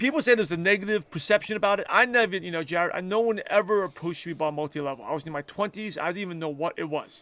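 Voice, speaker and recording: Speaking at a very fast pace with hardly any pauses, a man with a high voice uses ordinary pitch variation on a very clean recording with a silent background. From New York City (Brooklyn). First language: not English (English is his third language). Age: 40s. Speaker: entrepreneur. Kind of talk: interview.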